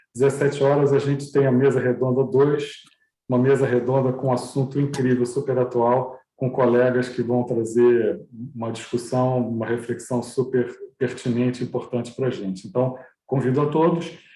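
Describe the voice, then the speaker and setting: A man's somewhat breathy, dark, mellow voice at medium pitch, with monotone, flat intonation and a fairly quick pace. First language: Portuguese. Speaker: university music program host. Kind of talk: closing remarks of online course.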